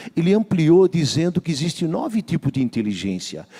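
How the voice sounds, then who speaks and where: In a dry, close sound with no echo, a man with a fairly high pitch speaks at a moderate pace with very wide pitch swings. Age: 60s. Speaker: pastor. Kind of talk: sermon.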